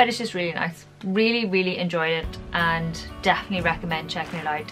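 Clear music plays in the background. A woman speaks at a very fast pace with ordinary pitch variation. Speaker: beauty vlogger. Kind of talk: casual vlog chat. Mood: cheerful, chatty. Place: home room.

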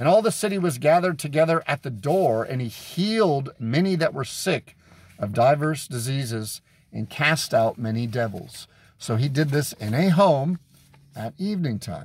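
A man speaks in a fairly high pitch with lively intonation and a somewhat breathy voice. The sound is dry, with no echo. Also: moderate pace. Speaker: street preacher. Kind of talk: sermon-style teaching with Bible verses. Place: car. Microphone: phone near.

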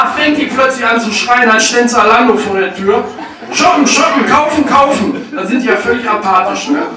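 With an animated, playful tone, a man raises and projects his voice at an extremely high pitch and a moderate pace. Audible room echo and noticeable background noise surround him. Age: 30s. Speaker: stand-up comedian. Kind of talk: stand-up comedy routine with storytelling and jokes. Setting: stage with audience. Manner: animated, punchy, playful delivery with crowd-work asides. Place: stage.

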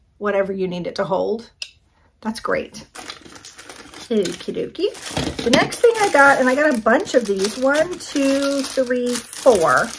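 A woman's enthusiastic, lively-sounding delivery at a fairly slow pace. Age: 50s. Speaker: lifestyle YouTuber doing product hauls. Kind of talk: casual product haul review. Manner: chatty, enthusiastic.

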